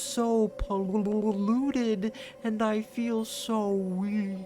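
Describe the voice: A female-sounding put-on character voice, fairly high in pitch, speaks at a very slow pace. Clear background noise runs behind it.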